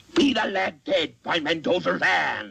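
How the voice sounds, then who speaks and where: A man's put-on character voice with a theatrical tone. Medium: short film. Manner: rolling, theatrical, growling.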